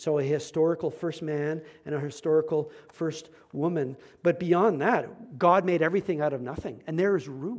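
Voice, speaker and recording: This man uses a normal speaking voice at a moderate pace. He pitches fairly high and varies it in an ordinary way. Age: 40s. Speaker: pastor. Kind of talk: sermon.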